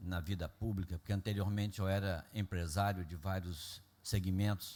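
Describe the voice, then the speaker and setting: Against a very clean recording with a silent background, a man speaks at a moderate pace in a very deep, low voice with a dark, mellow tone and fairly even intonation. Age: 70s. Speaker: public finance official. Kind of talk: public meeting presentation. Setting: council meeting with audience. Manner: formal.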